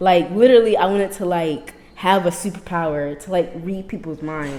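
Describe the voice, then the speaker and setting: A woman's lively intonation is heard over noticeable noise in the background. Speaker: podcast host. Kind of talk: casual chat. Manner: soft-spoken.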